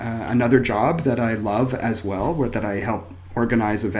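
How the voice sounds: Someone reads in a natural voice. There is little rise and fall in the intonation.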